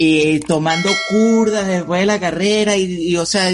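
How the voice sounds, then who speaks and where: With a Venezuelan accent, a man speaks at a high pitch with ordinary pitch variation. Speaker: podcast host. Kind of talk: casual interview chat.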